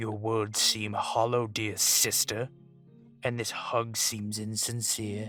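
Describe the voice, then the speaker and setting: Over faint music in the background, a man uses a put-on character voice at a medium pitch and fairly slow pace, with monotone, flat intonation. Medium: audio drama. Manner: brooding, indignant.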